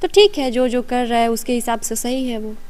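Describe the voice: This woman talks at a fairly quick pace in a fairly high pitch. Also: ordinary pitch variation.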